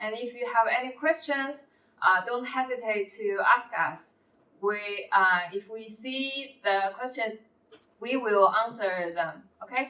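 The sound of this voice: A woman speaks fairly slowly in a bright, sharp, fairly high voice with ordinary pitch variation.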